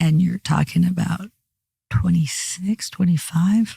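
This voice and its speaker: Somewhat breathy, this voice sounds dry and close, with no echo at all. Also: woman. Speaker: airline pilot. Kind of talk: interview. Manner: fast.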